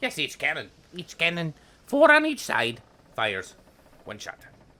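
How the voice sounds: In a put-on character voice with a bright, sharp tone, the speaker moves at a fairly slow pace through very wide pitch swings. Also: man, fairly high pitch for a man.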